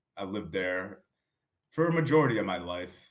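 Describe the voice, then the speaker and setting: With an American accent, a man speaks at a fairly quick pace and a fairly low pitch, his intonation lively. It is a normal speaking voice. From Massachusetts, near Providence. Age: 30s. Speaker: author. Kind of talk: interview.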